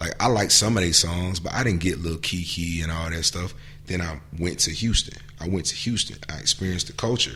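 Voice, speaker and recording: With a very deep, low pitch and ordinary pitch variation, a man talks at a fairly quick pace over noticeable background noise. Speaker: hip-hop artist. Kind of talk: casual chat. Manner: animated.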